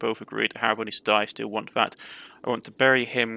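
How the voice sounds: A natural reading voice carries the text with fairly even intonation.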